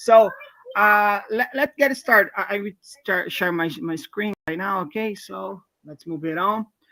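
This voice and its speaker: With a Brazilian Portuguese accent, a man speaks in a raised, projected voice at a high pitch and a fairly slow pace, with ordinary pitch variation, big swings in loudness and a dry, close sound with no echo. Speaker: software developer, open source mentor. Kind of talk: live coding stream. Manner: halting.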